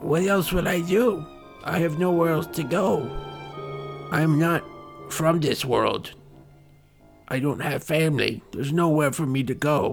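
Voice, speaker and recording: Doing a put-on character voice in a timid tone, a man speaks with fairly high pitch and long, frequent pauses while clear music plays behind him. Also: moderate pace. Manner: timid, pleading.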